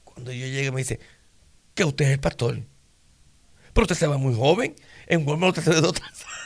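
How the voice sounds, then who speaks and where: Somewhat breathy and fairly high in pitch, a man talks at a very fast pace with ordinary pitch variation, big swings in loudness, and long, frequent pauses. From Puerto Rico, Isabela. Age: 60s. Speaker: pastor. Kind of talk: interview testimony.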